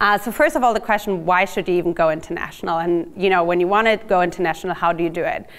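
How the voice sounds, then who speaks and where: A German accent at a very fast pace, with hardly any pauses and ordinary pitch variation. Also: woman, medium pitch for a woman. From Germany. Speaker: startup marketing executive. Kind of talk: lecture.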